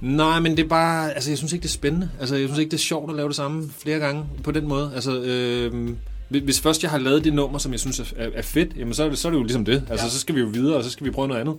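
A very fast-talking man with a fairly high pitch and fairly even intonation, music in the background, and audible room echo. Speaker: rapper. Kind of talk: interview.

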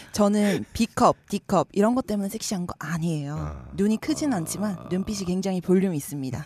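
A woman's unremarkable speaking voice at medium pitch, lively intonation and a moderate pace, in a dry, close sound with no echo. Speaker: podcast co-host. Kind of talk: comedic casual chat. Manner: playful, teasing.

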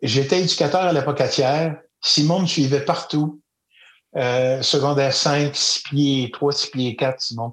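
In a Quebec accent, a man with a fairly high pitch speaks at a very slow pace with fairly even intonation. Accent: Québécois French. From Quebec, Eastern Townships. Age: 60s. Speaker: storyteller and educator. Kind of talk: interview.

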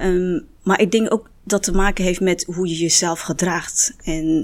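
The woman's fairly low voice moves at a very slow pace. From Netherlands. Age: 50s. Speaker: restaurant owner. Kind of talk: panel discussion.

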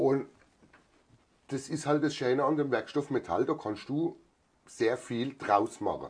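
Against a quiet background, a man talks at a fairly slow pace with long, frequent pauses, a fairly high pitch and ordinary pitch variation. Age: 40s. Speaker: farrier and master metalworker. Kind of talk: interview.

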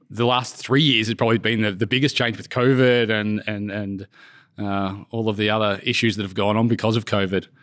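On a very clean recording with a silent background, a man with an Australian accent speaks at a moderate pace, his pitch fairly low and his intonation showing ordinary variation. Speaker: company president, surveyor. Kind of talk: casual interview chat.

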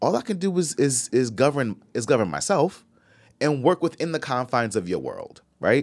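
A man speaks at a moderate pace with a fairly high pitch, lively intonation and vocal fry. The recording is very clean, with a silent background. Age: 40s. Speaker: podcast co-host. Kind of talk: casual chat.

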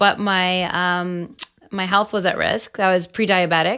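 A woman with a Canadian accent speaks at a medium pitch. Her tone is bright and sharp. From Toronto, Canada. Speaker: webcam model. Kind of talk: casual chat.

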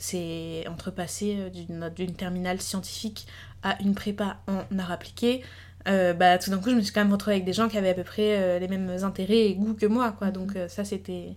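In a monotone, flat delivery, a woman talks at a moderate pace with a medium pitch. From France. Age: 20s. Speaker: illustrator. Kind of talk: casual chat.

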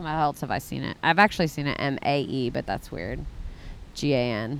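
A woman speaks in an American accent. Her voice is very deep and low in pitch. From Texas. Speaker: guest, wife of fellow guest. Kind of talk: casual chat.

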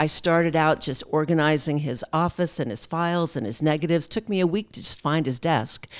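With an American accent, a woman talks at a fairly quick pace with hardly any pauses, in a very deep, low pitch with ordinary pitch variation. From Pennsylvania, grew up as a military child. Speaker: amateur photographer. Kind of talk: interview conversation. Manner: animated.

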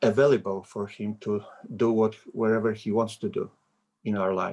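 At a fairly slow pace, a man talks at a medium pitch. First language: Polish. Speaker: visiting preacher. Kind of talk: sermon. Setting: video call. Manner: halting.

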